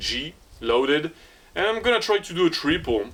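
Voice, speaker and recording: With a French accent, a man speaks at a fairly slow pace and with lively intonation against noticeable background noise. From France. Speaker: fitness vlogger. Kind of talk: casual vlog talk. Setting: outdoor home gym. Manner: halting, many repetitions and fillers.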